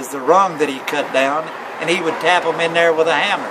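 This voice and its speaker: Someone with a Tennessee accent talks amid noticeable background noise and audible room echo. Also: man. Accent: rural Southern US (Tennessee). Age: 60s. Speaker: local elder recalling chairmaking. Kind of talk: oral history interview. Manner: halting, many fillers.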